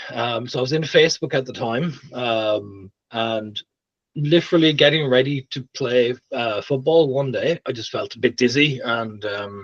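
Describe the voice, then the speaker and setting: A man with an Irish accent, medium pitch, ordinary pitch variation and a moderate pace. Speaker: tech leader. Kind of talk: interview. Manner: careful, planned speech.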